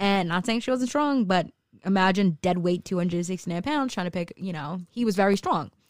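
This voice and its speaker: With an unremarkable speaking voice, a woman talks at a fairly quick pace in a medium pitch with lively intonation, the sound dry and close with no echo on a very clean recording with a silent background. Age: 20s. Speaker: tarot reader and weight loss influencer. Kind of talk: casual chat.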